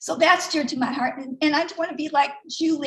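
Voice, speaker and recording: A woman talks fairly quickly in a high voice, with noticeable background noise around her. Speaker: artist and online business member. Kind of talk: personal sharing at online event. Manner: fast; halting.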